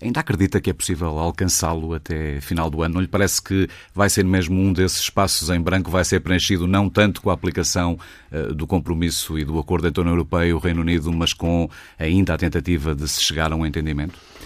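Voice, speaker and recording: Very fast, a man speaks in a very deep, low voice with fairly even intonation. The recording is very clean, with a silent background. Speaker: radio interviewer. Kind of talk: political interview.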